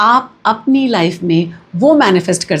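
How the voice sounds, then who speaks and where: The voice is somewhat breathy, with very wide swings in pitch. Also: woman. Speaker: numerology and vastu consultant, cosmic energy coach. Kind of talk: spiritual teaching talk to camera.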